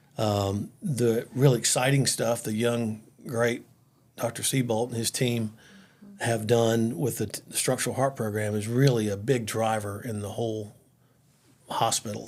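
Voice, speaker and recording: Fairly slow and fairly even in intonation, a man speaks at a medium pitch. He has an American accent. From Florida, US. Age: 60s. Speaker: cardiothoracic surgeon. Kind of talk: casual interview. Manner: halting.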